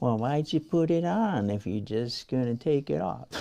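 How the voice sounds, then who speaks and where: A man puts on a squeaky character voice at a medium pitch, swinging very widely up and down at a moderate pace. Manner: mocking, sneering.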